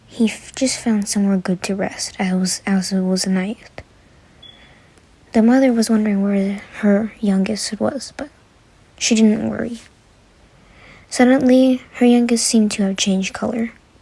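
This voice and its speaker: Speech moves at a moderate pace with long, frequent pauses. Noticeable background noise runs underneath. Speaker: Roblox video creator. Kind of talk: narration of a game documentary. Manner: halting with self-corrections.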